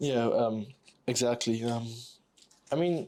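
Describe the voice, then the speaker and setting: On a very clean recording with a silent background, a man with a non-native accent speaks at a fairly slow pace. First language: not English. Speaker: YouTuber building Lego and talking. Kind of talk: casual monologue while building. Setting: live recording at home. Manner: halting, many fillers.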